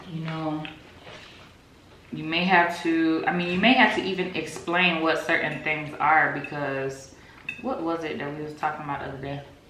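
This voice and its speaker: A woman with a very deep, low pitch speaks at a moderate pace with ordinary pitch variation and big swings in loudness. The room echo is audible, and there is noticeable background noise. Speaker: YouTuber, married couple channel. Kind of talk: casual chat.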